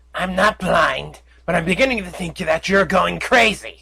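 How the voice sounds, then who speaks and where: In a put-on character voice, a man talks at a high pitch. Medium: read story. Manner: brisk, exasperated.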